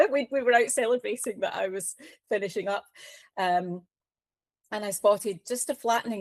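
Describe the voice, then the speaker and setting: Speaking at a fairly quick pace with a fairly high pitch, a woman is captured on a very clean recording with a silent background and a dry, close sound with no echo. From Scotland. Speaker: cancer patient advocate. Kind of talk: interview. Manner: hesitant, many fillers.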